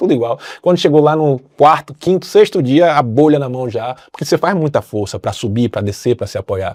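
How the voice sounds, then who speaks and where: Animated, lively intonation at a moderate pace with hardly any pauses, in dry, close sound with no echo on a very clean recording with a silent background. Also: man, fairly high pitch for a man. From Brazil. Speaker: pilgrim sharing travel experience. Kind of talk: podcast interview, casual storytelling. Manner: animated, colloquial.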